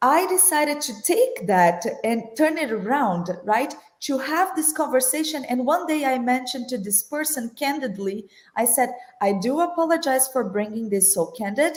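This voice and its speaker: A woman in a Brazilian Portuguese accent, high-pitched and with very wide pitch swings. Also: moderate pace. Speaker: corporate finance executive. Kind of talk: panel discussion.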